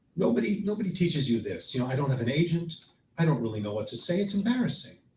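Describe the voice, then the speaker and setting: Over audible room echo, a man talks at a fairly quick pace in a fairly high voice with very wide pitch swings. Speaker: storyteller and performer. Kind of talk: personal storytelling on stage. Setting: live stage with audience.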